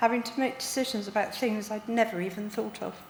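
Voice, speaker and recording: A woman's fairly high, monotone, flat voice against noticeable background noise. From Devon, England. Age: 60s. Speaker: heart transplant patient. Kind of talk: personal testimony, read from notes.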